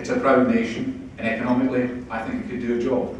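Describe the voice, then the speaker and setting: A man with a Scottish accent talks at a medium pitch with ordinary pitch variation. Noticeable background noise is present. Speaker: politician. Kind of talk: after-dinner speech.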